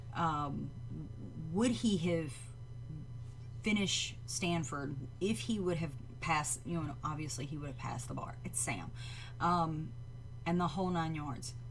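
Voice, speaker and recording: A woman with a Southern US accent, lively intonation, vocal fry, a fairly slow pace and long, frequent pauses, in audible room echo. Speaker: livestream reaction show host. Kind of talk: live stream reaction chat. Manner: hesitant, many fillers.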